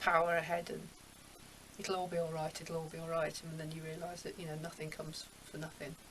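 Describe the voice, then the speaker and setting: Amid noticeable background noise, a woman with a fairly low pitch talks at a very fast pace. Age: 60s. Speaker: artist and poet. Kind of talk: life story interview. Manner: animated.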